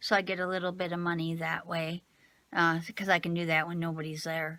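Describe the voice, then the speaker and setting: A woman speaks at a medium pitch with a bright, sharp tone. The recording is very clean, with a silent background. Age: 50s. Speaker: craft vlogger. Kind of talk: casual vlog. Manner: hesitant, many fillers.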